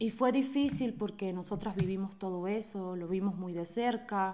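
A woman with a Venezuelan accent speaks at a fairly slow pace in a medium pitch. Her tone is dark and mellow, with ordinary pitch variation. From Venezuela, Caracas and Mérida. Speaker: interview guest sharing life story. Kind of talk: personal testimony.

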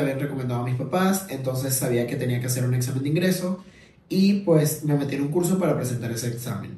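A man at a medium pitch speaks at a moderate pace with lively intonation and a dark, mellow, somewhat breathy tone, with audible room echo around him. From Venezuela. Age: 20s. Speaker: podcast host. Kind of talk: casual monologue. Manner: halting.

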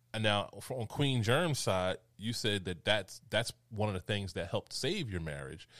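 With a plain, everyday voice, a man speaks at a fairly slow pace and fairly low pitch, with lively intonation and hardly any pauses, in a very clean recording with a silent background. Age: 40s. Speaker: podcast host. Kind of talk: casual interview chat.

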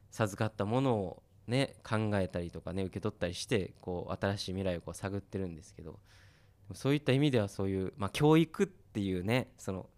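A man with an unremarkable speaking voice talks at a fairly quick pace and fairly low pitch, with ordinary pitch variation and big swings in loudness, in a dry, close sound with no echo on a very clean recording with a silent background. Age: 30s. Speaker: musician and radio host. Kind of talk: casual interview chat.

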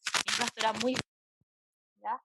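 A woman with a Chilean accent, in a dry, close sound with no echo. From Santiago, Chile. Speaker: psychologist. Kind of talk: interview.

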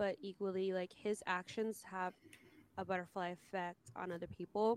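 A woman speaks at a moderate pace with an unremarkable speaking voice. Her pitch is medium and her intonation fairly even. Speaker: podcast host. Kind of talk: casual chat.

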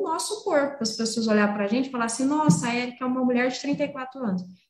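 A high-pitched woman talks at a fairly quick pace with lively intonation. Audible room echo surrounds her voice. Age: 40s. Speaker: veterinarian. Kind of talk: interview. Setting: video call.

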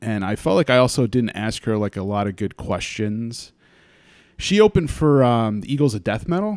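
In a very clean recording with a silent background, a man with an American accent speaks at a moderate pace and medium pitch in a plain, everyday voice with lively intonation. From US Northeast, Hudson Valley, New York. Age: 30s. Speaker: podcast host. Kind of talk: casual chat.

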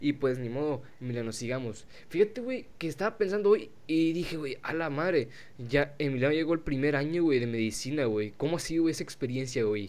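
A man with a Mexican accent talks at a fairly quick pace in a fairly high pitch, his intonation lively. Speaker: podcast host. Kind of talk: casual chat.

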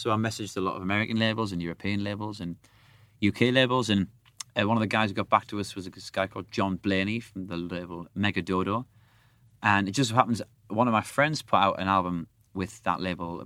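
A man talks at a very fast pace with a fairly low pitch and a bright, sharp tone. His intonation is fairly even, and the recording is very clean with a silent background. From northern England, Sunderland. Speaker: rock musician. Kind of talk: casual chat.

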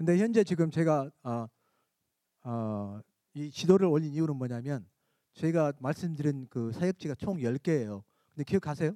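In a dry, close recording with no echo, a man with a fairly high pitch and a dark, mellow tone talks at a moderate pace, using lively intonation and long, frequent pauses. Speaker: church member presenting missions. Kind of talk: mission presentation. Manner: halting.

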